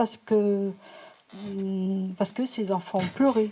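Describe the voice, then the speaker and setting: A woman with a dark, mellow tone and a somewhat breathy medium pitch speaks at a very slow pace with fairly even intonation. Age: 60s. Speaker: audience member, retired medical secretary. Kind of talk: audience contribution in public discussion. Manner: halting.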